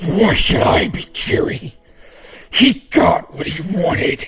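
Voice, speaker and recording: A man puts on a character voice that is raspy, growling and high-pitched. There is a slight echo. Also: fairly slow pace. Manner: snarling, bitter.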